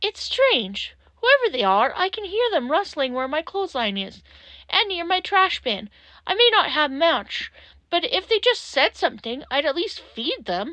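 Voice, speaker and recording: A woman performs a put-on character voice at an extremely high pitch. Her pitch swings very wide at a moderate pace. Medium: read story.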